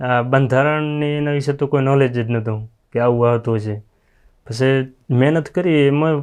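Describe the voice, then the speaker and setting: In an unremarkable speaking voice, a man talks at a medium pitch with fairly even intonation. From rural Gujarat, Kutch and Patan area. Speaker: police constable recruit. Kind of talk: interview.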